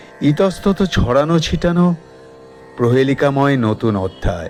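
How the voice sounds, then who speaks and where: Music in the background behind a man's fairly high voice with very wide pitch swings. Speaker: poetry reciter. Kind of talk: poetry reading.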